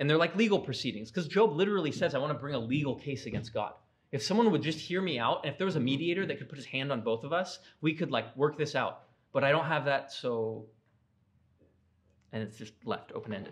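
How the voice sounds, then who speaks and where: At a very fast pace, a man talks with lively intonation and a fairly high pitch. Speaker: Bible class teacher. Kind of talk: lecture. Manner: casual with many fillers.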